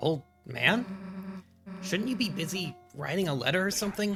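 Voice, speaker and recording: A man uses a put-on character voice pitched high for a man, with faint music in the background. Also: moderate pace. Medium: virtual streamer. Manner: gruff, teasing.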